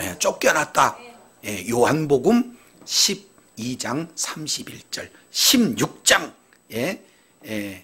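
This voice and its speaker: Very slowly and with long, frequent pauses, a man with fairly high pitch, a bright, sharp tone and vocal fry speaks with very wide pitch swings. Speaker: pastor. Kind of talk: sermon. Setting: church.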